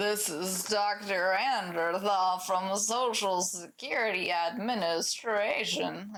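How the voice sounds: A put-on, robotic character voice sounds female, at medium pitch. It moves at a fairly slow pace.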